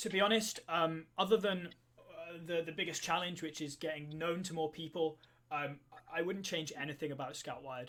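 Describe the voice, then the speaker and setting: Speaking with a British accent, a man has a high pitch and a bright, sharp tone. His moderate pace comes with fairly even intonation. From Wales. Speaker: co-founder of a scouting online community. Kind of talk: live stream Q&A. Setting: live stream. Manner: hesitant, many fillers.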